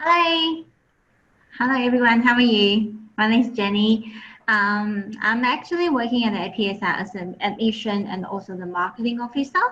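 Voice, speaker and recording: A woman with a Chinese accent talks at a moderate pace, fairly high in pitch with lively intonation. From Taiwan. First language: Mandarin Chinese. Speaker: admissions and marketing officer. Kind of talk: webinar presentation.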